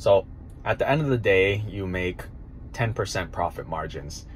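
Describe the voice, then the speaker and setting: A man over light background noise. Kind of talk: casual vlog chat. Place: car. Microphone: phone near.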